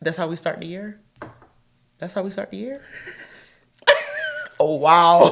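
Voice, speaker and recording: A woman with a fairly low pitch and an animated tone, at a moderate pace with ordinary pitch variation, long, frequent pauses and big swings in loudness. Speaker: relationship podcast co-host. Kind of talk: casual chat.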